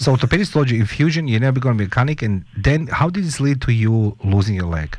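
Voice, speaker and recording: A man's somewhat breathy voice at a very fast pace, with lively intonation. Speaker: radio show host. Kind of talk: radio interview. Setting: radio studio. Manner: animated, repetitive.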